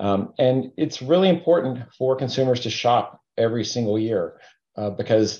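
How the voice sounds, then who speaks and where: Against a quiet background, a man speaks in a medium pitch with a dark, mellow tone. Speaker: company CEO. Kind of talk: business interview.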